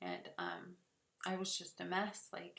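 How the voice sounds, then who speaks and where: A woman speaks at a very slow pace. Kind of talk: personal story told to camera.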